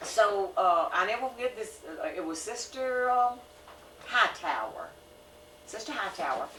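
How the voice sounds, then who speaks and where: Fairly slow and full of long, frequent pauses, a woman speaks with lively intonation at a fairly high pitch, with noticeable background noise and audible room echo. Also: big swings in loudness. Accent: Southern US. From US South. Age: 70s. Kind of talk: casual chat.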